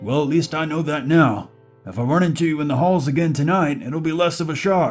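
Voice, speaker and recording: A man performs a croaky, put-on character voice at a fairly quick pace. Faint music plays in the background. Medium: read story. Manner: good-humored, folksy.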